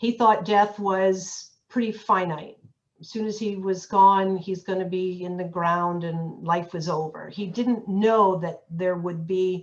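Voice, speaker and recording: A woman with a normal speaking voice at medium pitch talks at a fairly slow pace, her intonation fairly even but her loudness swinging widely. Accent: American. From Pennsylvania, US. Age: 60s. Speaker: end-of-life energy healer. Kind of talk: personal testimony in an online community talk.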